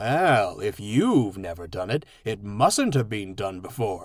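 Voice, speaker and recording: A man puts on a character voice, fairly low in pitch and fairly slow in pace. The recording is very clean, with a silent background. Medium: read story.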